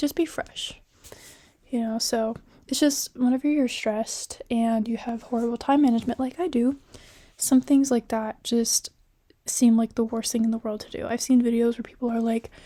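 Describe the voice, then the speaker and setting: Someone whispers at a moderate pace on a very clean recording with a silent background. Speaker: college student. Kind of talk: casual talk to camera. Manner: whispery.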